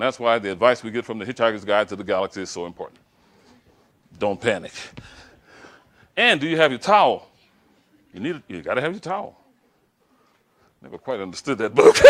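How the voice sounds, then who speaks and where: A man with an American accent talks at a very fast pace in an animated tone, with lively intonation, big swings in loudness, and long, frequent pauses. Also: medium pitch for a man. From Louisiana, US South. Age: 60s. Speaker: professor and diversity speaker. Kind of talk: lecture. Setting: stage with audience.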